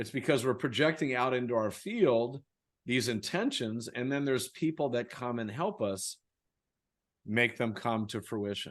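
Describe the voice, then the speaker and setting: A man speaks at a medium pitch and a moderate pace in a plain, everyday voice. The background is quiet. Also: ordinary pitch variation. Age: 60s. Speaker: author and speaker on personal growth. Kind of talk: interview.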